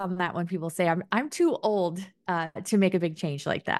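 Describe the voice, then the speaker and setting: A woman at a moderate pace over a quiet background. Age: 30s. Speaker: personal finance podcast host. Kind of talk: podcast intro and interview.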